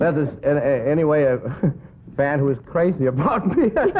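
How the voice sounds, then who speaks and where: This man's voice sits fairly high, with ordinary pitch variation and very even loudness. He keeps a moderate pace over noticeable background noise. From Denmark. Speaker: comedian and pianist. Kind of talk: comedy sketch on live TV variety show. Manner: dry, sly humor.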